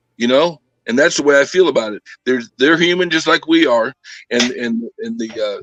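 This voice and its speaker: A man with an American accent, fairly high pitch and lively intonation, at a moderate pace, in a dry, close sound with no echo. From Southern California. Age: 60s. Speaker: former prisoner. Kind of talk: interview.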